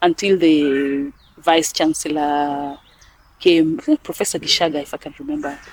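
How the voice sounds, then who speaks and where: A woman with a Kenyan accent, very deep and low in pitch, monotone and flat, at a moderate pace, with big swings in loudness. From western Kenya. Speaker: NGO executive director. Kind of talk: interview.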